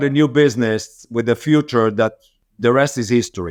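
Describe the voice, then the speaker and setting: This man speaks with an Israeli accent and ordinary pitch variation. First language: Hebrew. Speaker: business owner. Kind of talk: interview.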